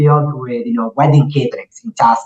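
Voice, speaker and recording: A man speaks with an Italian accent at a fairly high pitch. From Italy. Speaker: restaurant entrepreneur. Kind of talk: podcast interview.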